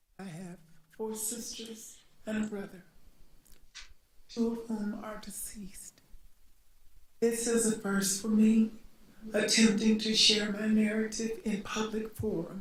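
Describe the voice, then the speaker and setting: A woman with an American accent speaks at a fairly slow pace in a fairly high, somewhat breathy voice, her intonation monotone and flat. Her loudness swings widely, long pauses come often, and room echo can be heard. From US South (Montgomery, Alabama). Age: 60s. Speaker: panelist. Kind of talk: panel discussion.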